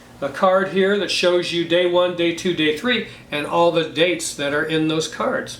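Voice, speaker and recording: Through noticeable background noise and audible room echo, a man speaks at a moderate pace with a high pitch and ordinary pitch variation. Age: 60s. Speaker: board game reviewer. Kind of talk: casual game review. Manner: animated.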